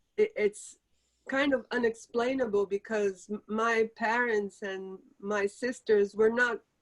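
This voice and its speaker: The voice comes in a Portuguese accent, with a dry, close sound and no echo. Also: woman. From Brazil. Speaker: author. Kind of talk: interview Q&A. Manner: halting.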